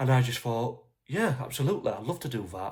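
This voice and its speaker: The man's voice is somewhat breathy. He moves along at a fairly quick pace. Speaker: football fan vlogger. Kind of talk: casual talk to camera. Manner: hesitant, stuttering.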